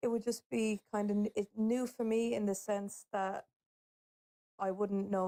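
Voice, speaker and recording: Recorded with a dry, close sound and no echo, a woman with an Irish accent talks at a moderate pace in a medium pitch. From Ireland. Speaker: TikTok live participant. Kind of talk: casual discussion. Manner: hesitant, many fillers.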